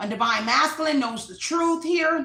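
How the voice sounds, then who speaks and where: Raising and projecting her voice, a woman speaks with ordinary pitch variation amid audible room echo and noticeable background noise. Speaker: tarot reader. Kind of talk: tarot reading monologue. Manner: fast.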